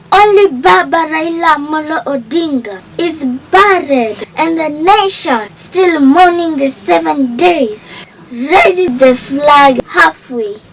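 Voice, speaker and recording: Noticeable background noise is present while a woman talks at a very slow pace. Her high-pitched voice shows lively intonation. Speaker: tribute narrator. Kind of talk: scripted narration. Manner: formal.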